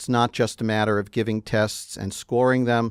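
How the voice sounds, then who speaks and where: Speaking with a New York accent, a man at medium pitch talks fairly slowly in a monotone, flat delivery, the sound dry and close with no echo. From New York City. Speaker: clinical psychologist, presenter. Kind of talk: webinar lecture. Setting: studio, live webinar. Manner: hesitant fillers (uh).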